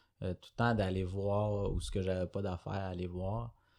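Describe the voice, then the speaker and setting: The background is quiet as a man speaks in a Quebec accent. His pitch is fairly low and his intonation fairly even. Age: 20s. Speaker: entrepreneur, recovered addict. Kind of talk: testimony. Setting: studio. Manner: hesitant, many fillers.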